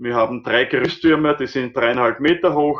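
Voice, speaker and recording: A man's fairly high-pitched, ordinary speaking voice, moderate in pace and ordinary in pitch variation. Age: 50s. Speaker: obstacle race organizer. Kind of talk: podcast interview.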